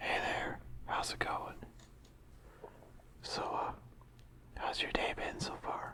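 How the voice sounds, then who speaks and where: Someone whispers at a very slow pace, with long, frequent pauses and noticeable background noise. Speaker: ASMR creator. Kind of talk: softly spoken ASMR talk to camera. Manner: soft-spoken, casual, conversational.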